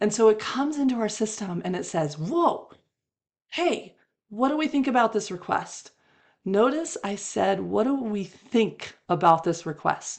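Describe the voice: A woman does a hoarse, put-on character voice with very wide pitch swings. Her pitch sits in the middle and her pace is moderate.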